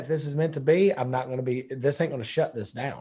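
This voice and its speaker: Talking at a very fast pace, a man has a fairly high, somewhat breathy voice with a dark, mellow tone. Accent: Southern US. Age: 30s. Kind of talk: casual interview.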